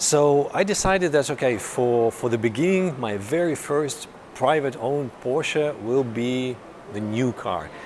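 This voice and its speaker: Noticeable background noise behind a medium-pitched man with ordinary pitch variation. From Russia. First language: Russian. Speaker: car journalist. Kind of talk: vlog. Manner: halting.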